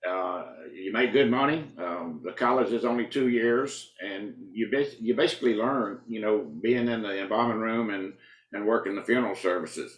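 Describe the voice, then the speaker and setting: A man's moderate-paced speech comes in a Southern US accent. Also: medium pitch for a man, ordinary pitch variation. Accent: Southern US (Georgia). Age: 70s. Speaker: county coroner. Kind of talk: interview. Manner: halting, frequent fillers.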